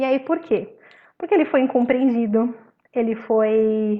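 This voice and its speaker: In a normal speaking voice, a woman talks at a fairly slow pace and a fairly high pitch with fairly even intonation. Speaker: spiritist study group presenter. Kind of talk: religious study talk.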